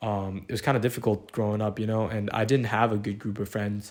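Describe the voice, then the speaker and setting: The recording is very clean, with a silent background. A man talks at a very fast pace with a fairly low pitch and monotone, flat intonation. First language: not English (English is third language). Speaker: podcast guest. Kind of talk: casual chat. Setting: bedroom.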